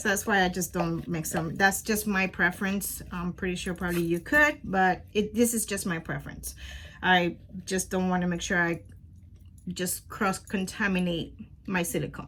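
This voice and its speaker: Speaking at a moderate pace with a Spanish accent, a woman uses a medium pitch and a bright, sharp tone. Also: ordinary pitch variation. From Puerto Rico. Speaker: crafting youtuber. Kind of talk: tutorial. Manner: casual, hesitant with many fillers.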